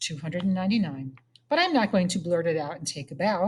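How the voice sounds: Lively intonation in a natural reading voice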